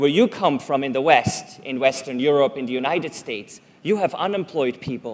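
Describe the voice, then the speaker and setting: At a fairly quick pace, a man talks with a Swiss German accent. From Switzerland (German-speaking). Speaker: conference speaker. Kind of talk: public talk.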